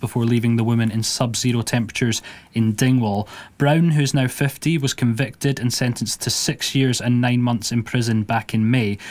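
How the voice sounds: A man speaks at a moderate pace and medium pitch, keeping his intonation fairly even.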